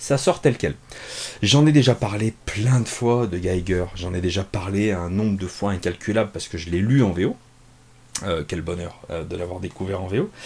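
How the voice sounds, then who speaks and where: Speaking at a moderate pace, a man uses a fairly low pitch with ordinary pitch variation. His voice is somewhat breathy. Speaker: comics reviewer. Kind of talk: casual review monologue. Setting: home office. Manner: hesitant, many fillers; relaxed.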